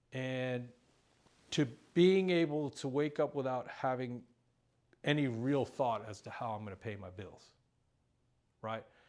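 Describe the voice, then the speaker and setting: A man speaks at a medium pitch, with long, frequent pauses. His loudness swings widely. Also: very clean recording, silent background. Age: 60s. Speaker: recovery speaker. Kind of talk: testimony.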